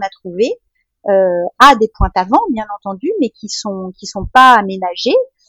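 With a normal speaking voice, a woman talks at a fairly high pitch and a fairly slow pace, with ordinary pitch variation and a dry, close sound with no echo. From France. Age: 50s. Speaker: mother planning family life at sea. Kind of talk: interview testimony. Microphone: poor microphone quality.

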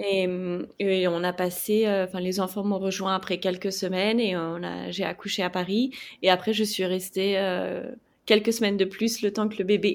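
Her medium-pitched delivery is flat and monotone at a moderate pace. The woman is recorded very cleanly against a silent background. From France. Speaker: travel blogger and former journalist. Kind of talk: podcast interview.

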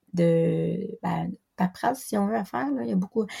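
Woman's voice, fairly low in pitch, dark and mellow in tone. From Quebec. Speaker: special education teacher. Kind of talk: interview testimony. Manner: halting, many hesitations.

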